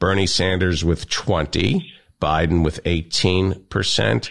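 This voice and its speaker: This man's voice sits at a very deep, low pitch and carries vocal fry. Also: very clean recording, silent background. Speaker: radio show host. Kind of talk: comedic banter. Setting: studio. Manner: teasing.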